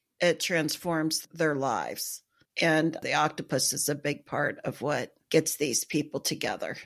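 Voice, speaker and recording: Her very deep, low pitch stays monotone and flat as a woman speaks at a fairly slow pace. The recording is very clean, with a silent background. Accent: American. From US Midwest, small town. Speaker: book podcast co-host. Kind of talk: casual chat.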